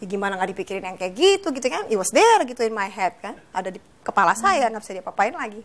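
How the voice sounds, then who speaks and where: A woman speaks at a very fast pace with hardly any pauses, her pitch fairly high. Her pitch moves in an ordinary way while her loudness swings widely. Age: 30s. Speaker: author, TV guest; TV guest. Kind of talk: personal story in interview. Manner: casual, hesitant with many fillers. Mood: reflective, personal story. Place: studio.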